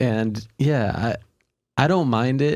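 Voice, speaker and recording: At a fairly slow pace, a man talks with an American accent. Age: 20s. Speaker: podcast host. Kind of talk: casual chat. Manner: thoughtful.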